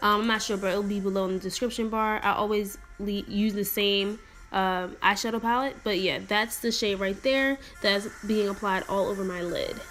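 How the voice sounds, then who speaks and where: A woman speaks at medium pitch. Her intonation is fairly even. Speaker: beauty vlogger. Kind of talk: makeup tutorial voiceover. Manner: fast.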